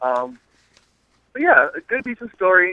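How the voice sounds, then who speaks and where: A man's high-pitched voice with very wide pitch swings. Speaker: caller. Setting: phone call. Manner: fast talker.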